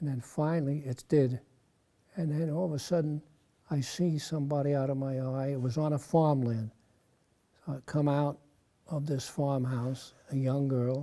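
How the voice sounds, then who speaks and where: A man with an American accent speaks at a moderate pace, his fairly high voice dark and mellow in tone. His intonation stays fairly even, broken by long, frequent pauses. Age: 90s. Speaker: war veteran. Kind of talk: interview.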